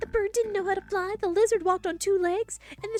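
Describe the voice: The intonation stays fairly even throughout this plain reading aloud.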